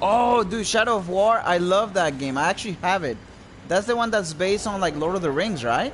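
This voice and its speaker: At a fairly quick pace, a man with a non-native accent speaks at a high pitch with lively intonation. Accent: noticeable foreign. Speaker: video game streamer. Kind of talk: live gameplay commentary. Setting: live stream with microphone. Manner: animated.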